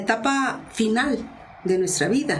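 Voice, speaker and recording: Amid audible room echo, a woman speaks very slowly at a fairly high pitch with very wide pitch swings. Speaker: journalist and communication expert. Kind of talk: interview.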